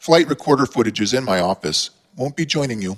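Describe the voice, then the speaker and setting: Doing a raspy put-on character voice at medium pitch, a man talks fairly quickly with lively intonation in a dry, close sound with no echo. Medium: read story.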